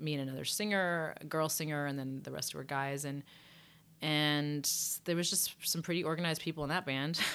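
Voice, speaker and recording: This woman's voice is very deep and low. She talks fairly quickly with fairly even intonation. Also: very clean recording, silent background. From England. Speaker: singer. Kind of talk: casual interview chat.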